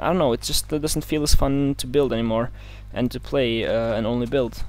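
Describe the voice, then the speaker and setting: A man with a non-native accent talks at a fairly quick pace. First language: not English. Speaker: gaming let's play youtuber. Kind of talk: casual gameplay commentary. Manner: hesitant, many fillers.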